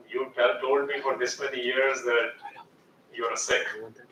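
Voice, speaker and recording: The speaker is a man with an Indian accent. Noticeable background noise sits behind his voice. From India (Jhansi, Uttar Pradesh), then US from age 12. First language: Hindi. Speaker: educator and author. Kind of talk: guest talk.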